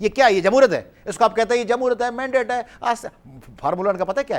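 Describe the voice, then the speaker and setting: This man's voice is extremely high in pitch. Its pitch variation is ordinary. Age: 40s. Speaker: political activist. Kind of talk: heated debate.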